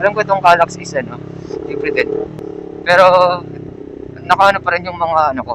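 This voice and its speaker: A man with a high pitch and ordinary pitch variation talks at a fairly quick pace broken by long, frequent pauses, with noticeable background noise. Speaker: motovlogger. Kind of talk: casual vlog narration while riding. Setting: riding a motorcycle on an expressway at night.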